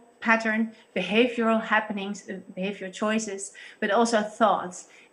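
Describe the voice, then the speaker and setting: This woman speaks with a Dutch accent. Her pace is moderate. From Netherlands. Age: 30s. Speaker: church pastor guest. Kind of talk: interview discussion on faith. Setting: video call.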